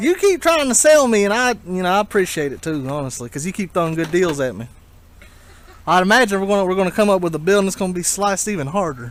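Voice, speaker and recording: Rushing at a very fast pace, a man with a strong Southern US accent talks in a high pitch with lively intonation. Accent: thick Southern US. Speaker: video game reseller vlogger. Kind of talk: casual bargaining at yard sale.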